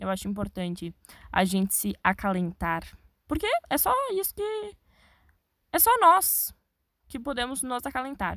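Pausing long and often, a woman with a high pitch speaks at a fairly slow pace, her pitch swinging very widely. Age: young. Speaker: podcaster. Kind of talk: solo podcast monologue. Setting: inside a wardrobe. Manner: casual, chatty.

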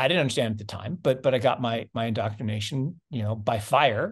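A man speaks at a fairly quick pace in a medium pitch, with ordinary pitch variation. His voice is somewhat breathy against a quiet background. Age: 50s. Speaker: investment fund manager. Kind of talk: interview.

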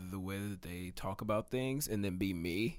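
A man with an American accent speaks at a moderate pace in a fairly low pitch. It is a plain, everyday voice, on a very clean recording with a silent background. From Texas (Katy, Houston area). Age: 20s. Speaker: podcast host. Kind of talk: casual chat.

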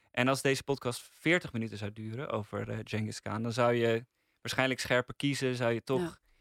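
An ordinary speaking voice at a fairly quick pace, with fairly even intonation and a dry, close sound with no echo. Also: man, medium pitch for a man. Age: 20s. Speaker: podcast critic. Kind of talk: casual chat.

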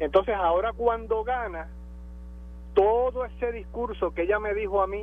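A man is speaking. His pace is moderate. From Puerto Rico. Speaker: caller. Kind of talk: phone call-in.

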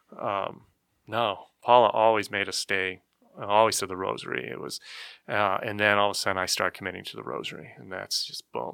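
In a very clean recording with a silent background, a man with an American accent speaks at a fairly quick pace and fairly low pitch, his tone bright and sharp, with vocal fry, ordinary pitch variation and big swings in loudness. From Arizona, Lake Havasu City. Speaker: parishioner, former Jehovah's Witness. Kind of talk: casual chat.

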